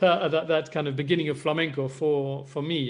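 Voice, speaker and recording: A man is speaking with an English accent. His pace is fairly quick. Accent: very English. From Spain, Madrid (English school, British father). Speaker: flamenco guitarist. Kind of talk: interview talk. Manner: hesitant, many fillers and repetitions.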